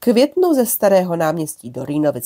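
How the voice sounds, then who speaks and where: Dry and close with no echo, a woman's dark, mellow voice moves at a moderate pace. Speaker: history podcaster on trams. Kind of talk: informal history narration. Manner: hesitant, with fillers.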